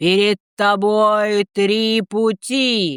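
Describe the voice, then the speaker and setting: This is a female-sounding put-on character voice. Its pitch sits fairly high. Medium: read story. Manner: solemn, commanding.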